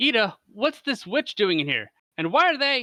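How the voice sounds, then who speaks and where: A man's put-on character voice, extremely high in pitch, at a moderate pace. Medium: read story.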